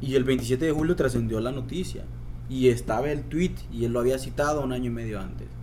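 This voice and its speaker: A man keeps up a fairly quick pace while audible room echo and noticeable background noise fill the recording. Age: 20s. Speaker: suicide prevention organization founder, poet. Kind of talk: interview conversation.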